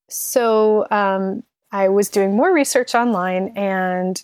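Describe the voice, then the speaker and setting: The sound is dry and close with no echo as a woman speaks at a medium pitch. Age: 30s. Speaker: caller seeking diet coaching. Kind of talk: casual chat. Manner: halting, many fillers.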